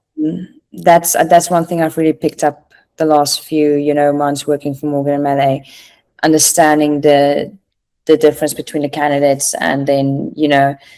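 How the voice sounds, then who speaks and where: A woman in a South African accent, very deep and low in pitch, with a dark, mellow tone and monotone, flat intonation, at a moderate pace on a very clean recording with a silent background. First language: Afrikaans. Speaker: recruiter, former private chef. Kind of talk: podcast interview.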